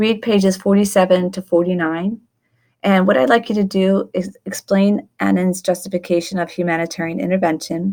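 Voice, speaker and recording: A woman with an unremarkable speaking voice and medium pitch talks at a moderate pace with fairly even intonation in a very clean recording with a silent background. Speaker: teacher. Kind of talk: recorded lecture screencast. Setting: screencast recording. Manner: instructional, measured.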